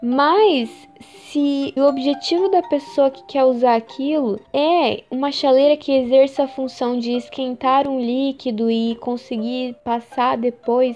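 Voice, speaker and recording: Against noticeable background noise, a woman with a high pitch talks at a fairly slow pace with ordinary pitch variation. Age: 20s. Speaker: podcast host. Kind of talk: scripted narration.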